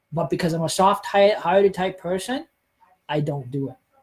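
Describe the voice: A man's high voice with a slightly husky edge, at a moderate pace. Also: ordinary pitch variation.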